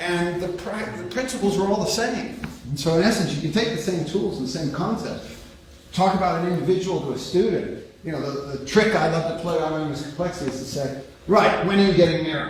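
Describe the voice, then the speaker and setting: A loud, high-pitched man with an American accent and lively intonation at a fairly quick pace, amid noticeable background noise and audible room echo. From United States. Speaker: academic speaker on complexity. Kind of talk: lecture. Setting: lecture room without microphone. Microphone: no microphone used.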